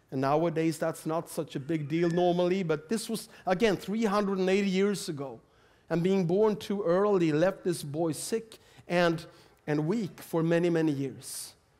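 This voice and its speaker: A man speaks with a Swedish accent. His pitch is high. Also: ordinary pitch variation, moderate pace. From Sweden. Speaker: preacher. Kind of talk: sermon. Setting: church. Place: church. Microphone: headset.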